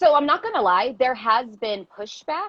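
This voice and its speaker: A loud, animated woman's voice, high in pitch with very wide pitch swings. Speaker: teacher and activist. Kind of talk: casual chat.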